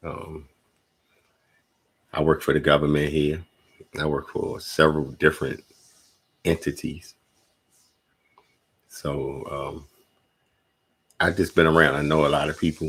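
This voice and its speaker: Slow-paced with long, frequent pauses, a man speaks in a very deep, low pitch with vocal fry and monotone, flat intonation. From Washington DC. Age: 40s. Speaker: podcast host. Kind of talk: casual monologue. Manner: halting, repetitive.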